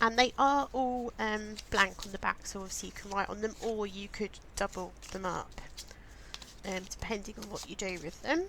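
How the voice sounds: Putting on a croaky character voice, a woman speaks at a medium pitch and moderate pace with big swings in loudness over noticeable background noise.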